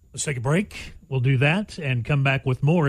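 The recording is very clean, with a silent background. A man speaks in a somewhat breathy, medium-pitched voice with ordinary pitch variation. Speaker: radio host. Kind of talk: casual chat. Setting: studio.

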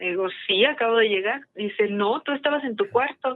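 A woman speaks with fairly even intonation. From Mexico, Aguascalientes. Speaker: caller. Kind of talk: telling a personal ghost story.

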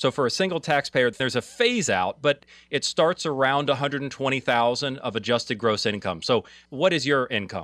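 A man talks in a plain, everyday voice at a fairly quick pace. The sound is dry and close, with no echo. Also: medium pitch for a man, ordinary pitch variation. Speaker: financial advisor co-host. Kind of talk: call-in radio advice show. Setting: studio.

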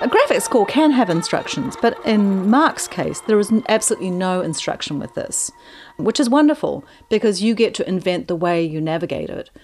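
A woman with an American accent speaks at a moderate pace in a fairly high voice with very wide pitch swings, over noticeable background noise. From New Zealand. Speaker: flutist. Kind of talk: interview monologue about her music.

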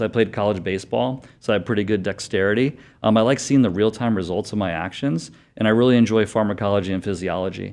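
Against a quiet background, a man with an American accent talks at a very fast pace in a fairly low pitch with ordinary pitch variation. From Connecticut. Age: young. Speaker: doctor. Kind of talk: interview.

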